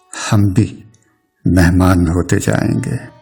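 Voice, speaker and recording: A man's very deep, low voice is heard with music playing behind it. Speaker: poet. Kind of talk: poetry reading.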